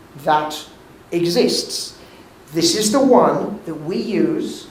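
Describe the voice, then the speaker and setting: With a British accent, a man speaks at a high pitch with lively intonation amid noticeable background noise and audible room echo. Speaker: physician and lecturer. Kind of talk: lecture.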